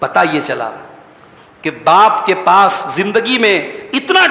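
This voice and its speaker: Over noticeable background noise, a man speaks in a raised, projected voice with a high pitch. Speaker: Islamic scholar giving a Quran commentary lecture. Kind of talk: religious sermon / lecture. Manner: earnest, passionate, preaching.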